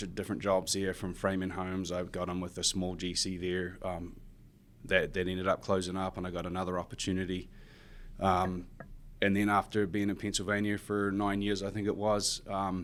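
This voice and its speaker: Here a man with a New Zealand accent speaks at a moderate pace in a monotone, flat intonation. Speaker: construction superintendent. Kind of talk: podcast interview. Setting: studio in high-rise office.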